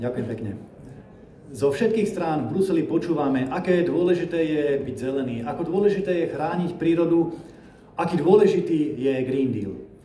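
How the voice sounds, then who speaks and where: A man talks at a moderate pace and fairly high pitch, with lively intonation. Noticeable background noise and audible room echo surround him. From Slovakia. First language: Slovak (speaking Hungarian). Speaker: politician. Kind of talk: conference speech.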